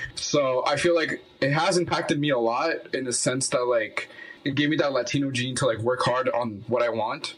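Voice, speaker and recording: Man at a moderate pace and medium pitch, very even in loudness with ordinary pitch variation, amid noticeable background noise. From Quebec, Montreal (born in Colombia, moved as a baby). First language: Spanish. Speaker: musician. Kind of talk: casual chat.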